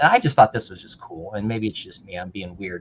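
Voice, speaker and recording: With an American accent, a man talks in a medium register. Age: 60s. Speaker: retired modeller, show co-host. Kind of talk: casual chat. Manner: animated.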